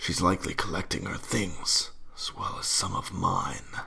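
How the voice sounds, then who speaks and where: A man's put-on character voice at a moderate pace. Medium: read story. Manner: stern, cold, domineering.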